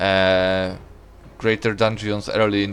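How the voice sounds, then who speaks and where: With a Polish accent, a man with a fairly low pitch speaks at a fairly slow pace in a monotone, flat way. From Poland. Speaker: gaming streamer. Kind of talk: casual live-stream commentary while gaming. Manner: loud; casual, hesitant with fillers.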